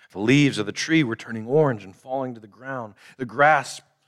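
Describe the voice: Ordinary pitch variation comes through in this plain reading aloud.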